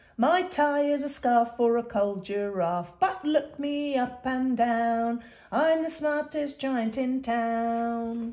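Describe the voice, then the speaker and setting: At a very slow pace with hardly any pauses, a woman uses a put-on character voice pitched high. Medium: read story. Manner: cheerful, kindly.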